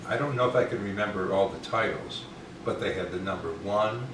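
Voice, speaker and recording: With an American accent, a man speaks at a fairly low pitch and a moderate pace, his intonation fairly even, amid audible room echo and noticeable background noise. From upstate New York. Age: 70s. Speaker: retired radio host. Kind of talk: casual chat. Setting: living room.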